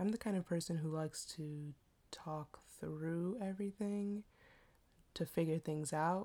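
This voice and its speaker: A woman's fairly low voice in an American accent, at a fairly slow pace, with ordinary pitch variation and long, frequent pauses. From Washington DC area, US. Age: 20s. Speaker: podcast host. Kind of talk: casual solo monologue. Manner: casual, chatty, self-deprecating.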